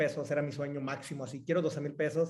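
Here a man talks with a Mexican accent. His pace is fairly quick. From Mexico, Jalisco (Cihuatlán). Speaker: entrepreneur. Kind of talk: casual interview.

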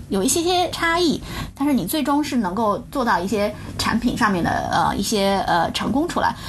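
Her fairly high voice makes very wide pitch swings at a moderate pace and very even loudness. The woman is heard with audible room echo and noticeable background noise. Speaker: product manager. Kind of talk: interview. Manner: hesitant, many filler sounds.

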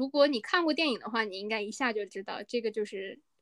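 Dry and close with no echo, a woman's fairly high voice carries lively intonation. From northern China. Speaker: podcast co-host. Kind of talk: casual chat.

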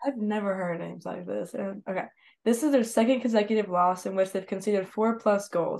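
An ordinary speaking voice: a woman at medium pitch with an American accent, fairly quick pace and ordinary pitch variation, over a quiet background. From United States. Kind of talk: reading news aloud.

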